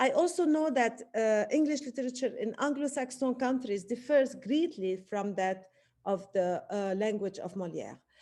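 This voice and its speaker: At a moderate pace, a woman with a non-native accent speaks in a high voice that has a dark, mellow tone and lively intonation. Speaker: literature professor. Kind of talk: academic webinar talk. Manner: halting with many fillers.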